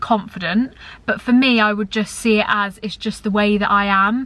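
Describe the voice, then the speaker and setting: Intonation stays fairly even as a woman speaks at a moderate pace. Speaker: YouTuber. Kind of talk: casual chat. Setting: in a car. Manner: loud; chatty.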